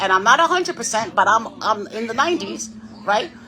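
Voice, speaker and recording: Speaking very fast in an American accent, a woman sounds animated, with lively intonation, and noticeable background noise behind her. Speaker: livestreamer. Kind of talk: casual chat.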